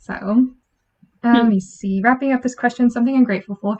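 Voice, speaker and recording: Soft-spoken and somewhat breathy, a woman talks with fairly even intonation. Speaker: podcast host. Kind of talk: casual chat.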